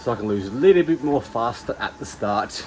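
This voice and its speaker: There's noticeable background noise as this man talks at a fairly quick clip. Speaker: personal trainer and bodybuilding competitor. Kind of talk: vlog talking to camera. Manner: hushed, quiet.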